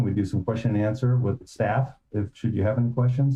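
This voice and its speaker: A somewhat breathy man at a fairly quick pace, with ordinary pitch variation. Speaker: city planning staff. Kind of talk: staff presentation at public meeting. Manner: soft-spoken.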